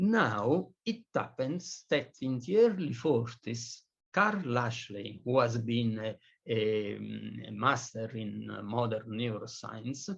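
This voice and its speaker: Somewhat breathy and medium in pitch, a man with a non-native accent speaks at a very slow pace with ordinary pitch variation. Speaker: physicist lecturer. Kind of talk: lecture. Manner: halting, many fillers.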